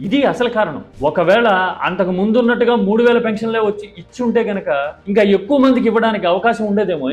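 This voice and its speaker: Over music in the background, a man speaks in a high pitch with ordinary pitch variation. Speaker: political commentator. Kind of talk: political analysis talk to camera.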